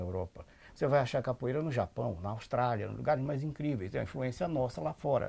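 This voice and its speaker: Talking at a very fast pace, a man with a dark, mellow tone and medium pitch shows vocal fry and very wide pitch swings. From Salvador, Bahia, Brazil. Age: 70s. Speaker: anthropologist. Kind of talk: interview. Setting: at his home.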